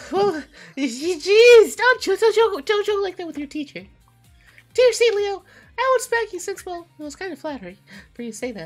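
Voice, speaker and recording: A woman speaks at a moderate pace in an extremely high pitch, with big swings in loudness and long, frequent pauses. Faint music plays in the background. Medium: game stream. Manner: bubbly, friendly, a bit flustered.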